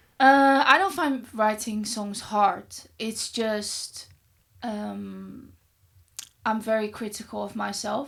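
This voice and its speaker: A woman with a Dutch accent speaks at a very slow pace, with long, frequent pauses and big swings in loudness. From Netherlands. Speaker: singer. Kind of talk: podcast interview.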